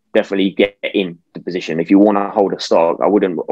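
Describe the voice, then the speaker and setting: Speaking very fast, a man with a British accent keeps a fairly low pitch in monotone, flat intonation. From UK. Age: 20s. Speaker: investor and youtuber. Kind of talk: interview.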